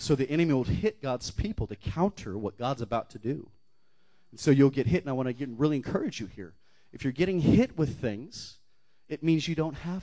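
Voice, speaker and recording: Speaking fairly quickly, a man with a fairly high, dark, mellow voice uses lively intonation and big swings in loudness. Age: 40s. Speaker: guest preacher. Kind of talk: sermon. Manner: animated.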